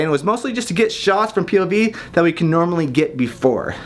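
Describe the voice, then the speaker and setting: An unremarkable speaking voice from a man, at a fairly quick pace and with ordinary pitch variation. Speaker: filmmaker and YouTuber. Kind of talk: tutorial.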